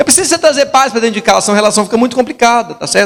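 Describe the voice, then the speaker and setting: Using ordinary pitch variation, a man speaks at an extremely high pitch. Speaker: pastor. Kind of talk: sermon. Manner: soft-spoken.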